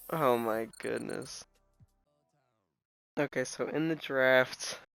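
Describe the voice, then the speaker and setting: Very slow speech from a man, music playing behind. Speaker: video game commentator. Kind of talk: casual gameplay commentary.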